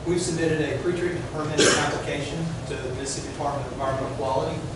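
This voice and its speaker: There is loud background noise and audible room echo. A man is speaking. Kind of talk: formal presentation to a board. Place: hall. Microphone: camera far.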